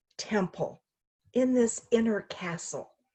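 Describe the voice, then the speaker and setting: Speaking at a very slow pace, a woman has a warm tone. Her voice is fairly high and somewhat breathy. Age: 50s. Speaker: minister. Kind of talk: inspirational video message. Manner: warm, conversational.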